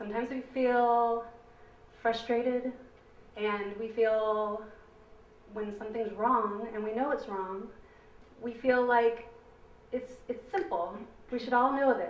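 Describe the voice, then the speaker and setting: Fairly high-pitched, a woman talks at a fairly slow pace with long, frequent pauses and fairly even intonation. Audible room echo and noticeable background noise fill the recording. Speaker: parent speaking at public comment. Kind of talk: public comment at board meeting. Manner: loud.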